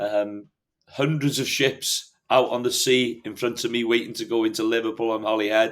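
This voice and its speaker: Here a man speaks with a Welsh accent. His intonation stays fairly even. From North Wales. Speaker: hill farmer. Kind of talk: podcast interview.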